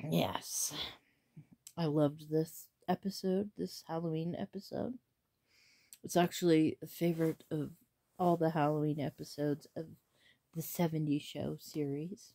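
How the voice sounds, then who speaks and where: With a quiet background, a woman with a very deep, low voice and a dark, mellow tone speaks fairly slowly, with fairly even intonation and long, frequent pauses. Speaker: vlogger. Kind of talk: casual vlog chat. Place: home room. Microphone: phone near.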